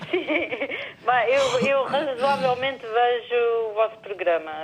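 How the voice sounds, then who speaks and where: With noticeable background noise behind her, a woman speaks at a fairly slow pace and fairly high pitch with ordinary pitch variation. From Portugal, Lisbon. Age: 60s. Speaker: TV viewer caller. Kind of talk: call-in conversation.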